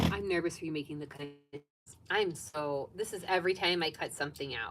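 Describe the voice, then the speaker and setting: Speaking at a moderate pace, a woman has a very deep, low pitch. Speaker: sewing vlogger. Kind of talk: live stream sewing chat. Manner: soft-spoken; casual, chatty.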